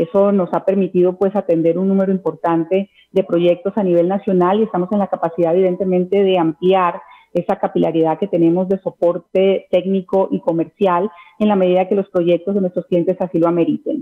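A woman's voice at a fairly quick pace, with fairly even intonation. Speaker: guest. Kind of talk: interview answer. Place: home room. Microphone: video call.

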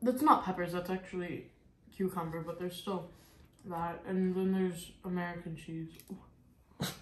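A woman speaks at a fairly slow pace in a fairly low pitch, her intonation fairly even. The room echo is audible, with light background noise behind her. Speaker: vlogger's daughter. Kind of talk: casual vlog chat. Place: kitchen. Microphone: camera far.

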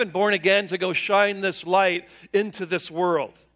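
A man speaks in a bright, sharp tone. The background is quiet. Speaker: pastor preaching. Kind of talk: sermon. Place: church. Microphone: podium.

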